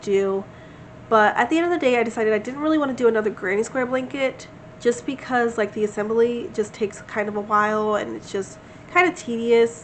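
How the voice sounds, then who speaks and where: A woman at a very fast pace and a fairly high pitch, ordinary pitch variation, noticeable background noise behind her. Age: 20s. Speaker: crochet vlogger. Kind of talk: casual vlog chat. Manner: conversational, filler-heavy.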